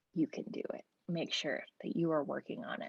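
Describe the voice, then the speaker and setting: The recording is dry and close, without echo. A woman speaks at a moderate pace. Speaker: music business coach. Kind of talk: livestream talk. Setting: livestream video call.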